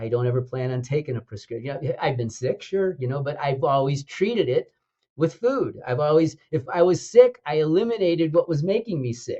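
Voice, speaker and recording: With an American accent, a man talks at a fairly quick pace in a dark, mellow, somewhat breathy tone with lively intonation. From US Midwest, Chicago. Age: 70s. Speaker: naturopathic doctor and school co-founder. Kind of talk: podcast interview. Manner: animated.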